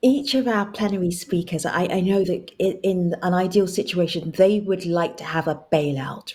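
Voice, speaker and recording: A woman speaks with a London accent at a fairly slow pace. Her pitch varies in an ordinary way. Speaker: panel moderator. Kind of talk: panel discussion.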